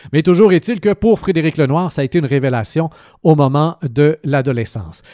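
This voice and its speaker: A man with a fairly high yet dark, mellow voice talks with lively intonation. The sound is dry and close with no echo, on a very clean recording with a silent background. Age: 40s. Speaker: radio host. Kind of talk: radio book review. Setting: radio studio.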